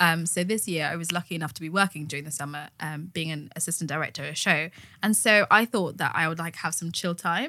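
Bright and sharp in tone, a woman with a fairly low pitch and ordinary pitch variation talks at a very fast pace with hardly any pauses on a very clean recording with a silent background. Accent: British. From Zambian heritage, raised in UK. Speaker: theatre professional. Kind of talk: casual chat.

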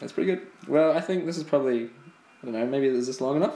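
A man talks at a very fast pace. He speaks with a New Zealand accent. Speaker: podcast co-host. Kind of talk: casual chat. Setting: at home, recording on an iPad.

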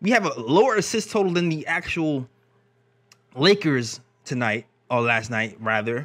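On a very clean recording with a silent background, a man with a fairly high pitch talks at a moderate pace in an animated tone, his pitch swinging very widely and his speech broken by long, frequent pauses. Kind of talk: live stream sports talk. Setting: live stream.

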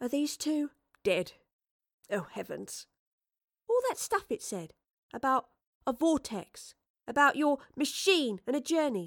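Using a put-on character voice, a woman speaks slowly and high with big pitch swings and long, frequent pauses in a very clean recording with a silent background.

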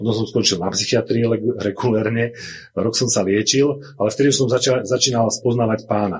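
A somewhat breathy man talks at a fairly quick pace and medium pitch, with fairly even intonation and very even loudness. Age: 40s. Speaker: church member giving testimony. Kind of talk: testimony.

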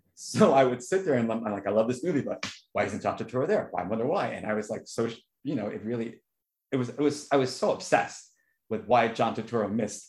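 Talking at a fairly quick pace, a man with an American accent sounds somewhat breathy, with medium pitch and lively intonation. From New York. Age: 50s. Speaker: filmmaker. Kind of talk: casual chat.

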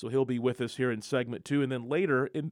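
This is an ordinary speaking voice. The intonation is fairly even. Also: man. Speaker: sports radio host. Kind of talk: live sports talk radio show. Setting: radio studio, live broadcast.

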